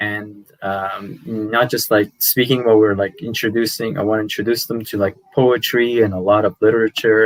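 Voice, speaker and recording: With a Persian accent, a man speaks at a fairly low pitch with ordinary pitch variation, the sound dry and close with no echo. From Iran, Tehran, then Canada from age 10. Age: 30s. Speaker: language youtuber. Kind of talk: podcast interview. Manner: hesitant, many fillers.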